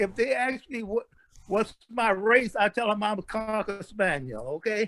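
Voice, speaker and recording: A man's high-pitched voice at a fairly slow pace, with ordinary pitch variation. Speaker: family member sharing genealogy. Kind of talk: casual chat. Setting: video call.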